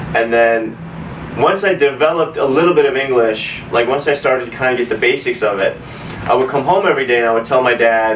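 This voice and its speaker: A man with an American accent talks at a very fast pace against noticeable background noise. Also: medium pitch for a man, ordinary pitch variation. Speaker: immigrant telling life story. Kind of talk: personal storytelling. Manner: casual, filler-heavy.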